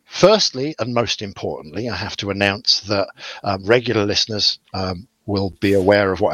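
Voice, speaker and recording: Ordinary pitch variation marks an ordinary speaking voice. It moves along at a moderate pace. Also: man. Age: 40s. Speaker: podcast co-host. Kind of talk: casual chat.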